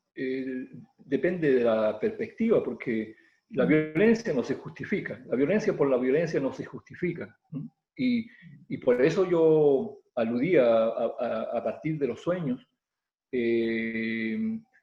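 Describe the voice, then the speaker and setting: Speaking at a very slow pace, a man makes very wide pitch swings. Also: fairly high pitch for a man. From southern Chile, Mapuche community near Temuco. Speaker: Mapuche poet and oral storyteller. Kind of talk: interview answer. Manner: hesitant, with many fillers.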